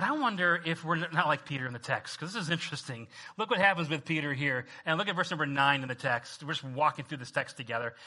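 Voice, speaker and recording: The man's fairly high voice races along at a very fast pace, its pitch varying in an ordinary way. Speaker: preacher. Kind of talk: sermon. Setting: church. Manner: conversational, with fillers.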